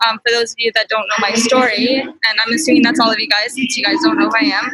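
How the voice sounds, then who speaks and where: Music plays in the background as a woman talks at a very fast pace. Her pitch is high, with ordinary variation. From Canada (London, Ontario), immigrant family. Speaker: real estate investor. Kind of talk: personal story talk.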